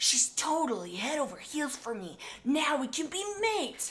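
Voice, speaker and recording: A quiet, high-pitched, put-on character voice at a moderate pace, with hissing and light background noise. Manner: quiet, hissing.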